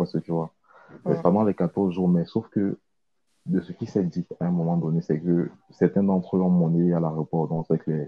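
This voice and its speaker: A man speaks in a very deep, low pitch. His intonation is flat and monotone. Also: moderate pace. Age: 20s. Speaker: accountant. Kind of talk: interview. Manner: halting.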